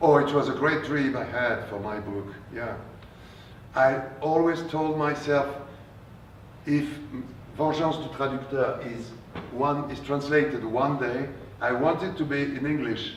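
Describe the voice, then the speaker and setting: A man speaks at a fairly slow pace in a fairly high pitch, with fairly even intonation and long, frequent pauses. Audible room echo and noticeable background noise surround him. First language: French. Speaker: translator and novelist. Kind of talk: author talk with Q&A. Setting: bookstore event with audience. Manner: halting.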